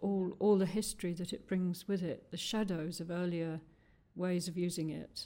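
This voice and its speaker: Her dark, mellow tone carries as the woman speaks at a moderate pace. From London and Newcastle. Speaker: poet. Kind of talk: conversational interview with poetry readings. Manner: hesitant.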